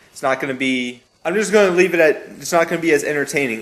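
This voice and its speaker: A man with an American accent is heard through noticeable background noise and audible room echo. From Maryland, US. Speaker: YouTube gaming commentator. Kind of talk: casual vlog tutorial. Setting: garage. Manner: natural talking voice, not commentary voice; casual, some hesitations.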